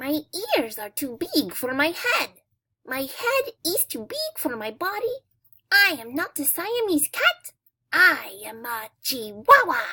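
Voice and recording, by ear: Putting on a character voice in a Spanish accent, a woman speaks high-pitched at a fairly slow pace with very wide pitch swings.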